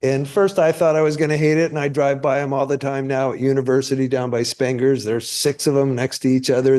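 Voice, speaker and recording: With an American accent, a man speaks at a fairly quick pace and medium pitch, his tone dark and mellow, his intonation fairly even, with hardly any pauses. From Northern California (Marin County). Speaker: public commenter. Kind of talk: public comment at a meeting. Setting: town planning commission meeting.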